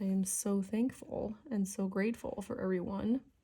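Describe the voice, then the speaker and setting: Very slowly and somewhat breathily, a woman speaks at a medium pitch with ordinary variation. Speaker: coloring channel creator. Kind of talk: casual chat while coloring. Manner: relaxed, laid back.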